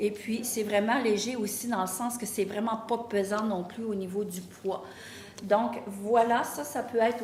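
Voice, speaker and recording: Over noticeable background noise and audible room echo, a woman speaks at a fairly slow pace with a fairly high pitch and monotone, flat intonation. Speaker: boutique owner. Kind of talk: sales pitch. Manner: hesitant, with fillers.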